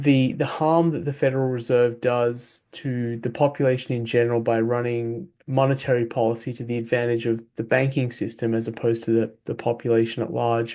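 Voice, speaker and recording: With an Australian accent, a man talks in a dark, mellow tone and fairly even intonation. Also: medium pitch for a man, quiet background. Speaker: author and former software engineer. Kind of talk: interview. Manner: hesitant with fillers.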